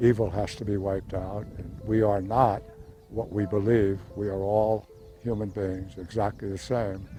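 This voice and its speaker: Over music in the background, a man with a fairly low pitch talks at a moderate pace in a monotone, flat intonation. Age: 90s. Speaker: war veteran. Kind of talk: testimony.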